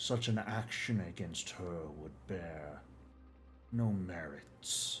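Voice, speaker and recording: A man puts on a character voice, pitched very deep and low, and speaks at a very slow pace. Background noise is clearly audible. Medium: actual play. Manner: measured, formal, cryptic.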